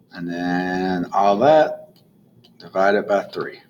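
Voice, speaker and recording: A man's pitch swings very widely as he talks at a very slow pace. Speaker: math teacher. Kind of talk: recorded lesson tutorial. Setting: recording video notes alone.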